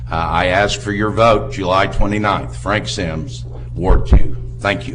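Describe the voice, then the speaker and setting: A man with an American accent and a very deep, low pitch, with very wide pitch swings, audible room echo and noticeable background noise. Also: fairly slow pace. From Shawnee, Oklahoma. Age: 50s. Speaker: city commission candidate. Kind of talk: election debate.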